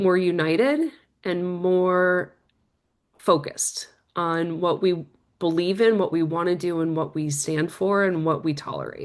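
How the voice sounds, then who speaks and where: With a normal speaking voice, a woman talks fairly slowly at a medium pitch over a quiet background. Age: 50s. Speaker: former military intelligence officer. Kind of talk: interview.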